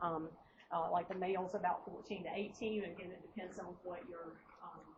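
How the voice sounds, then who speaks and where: Somewhat breathy at medium pitch, a woman speaks with ordinary pitch variation in a room with audible echo. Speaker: nursing instructor. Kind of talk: lecture. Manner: halting, many fillers and repetitions.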